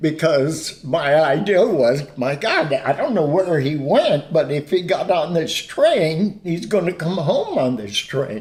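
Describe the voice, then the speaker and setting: Over noticeable background noise, a man with a fairly high pitch and lively intonation talks at a very slow pace with hardly any pauses. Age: 70s. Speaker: pastor and counselor. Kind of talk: testimony.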